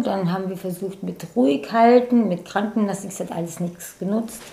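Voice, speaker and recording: A woman with lively intonation at a moderate pace, against noticeable background noise. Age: 50s. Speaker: personal training client. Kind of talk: casual interview.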